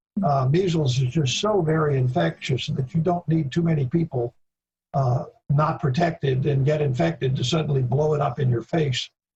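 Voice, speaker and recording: A somewhat breathy voice keeps very even loudness and shows ordinary pitch variation. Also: man, fairly high pitch for a man, moderate pace. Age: 70s. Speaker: veterinary epidemiology expert. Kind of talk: Q&A discussion. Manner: halting.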